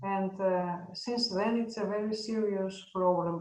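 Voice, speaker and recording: Amid audible room echo, a woman with a Greek accent speaks at a fairly slow pace and medium pitch. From Greece. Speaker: veterinary professor. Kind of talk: podcast interview. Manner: halting.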